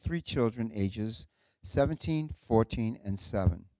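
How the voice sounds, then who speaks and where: Dry and close with no echo, a man's dark, mellow voice at medium pitch carries a New England accent and lively intonation. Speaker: event host introducing speakers. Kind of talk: speaker introduction at a live talk event.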